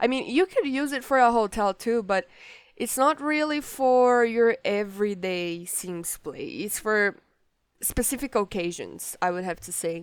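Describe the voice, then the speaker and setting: The speaker has a Portuguese accent and lively intonation at a fairly slow pace. The recording is very clean, with a silent background. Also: woman. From Brazil. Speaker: gaming YouTuber. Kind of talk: gameplay commentary. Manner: casual, hesitant with many fillers.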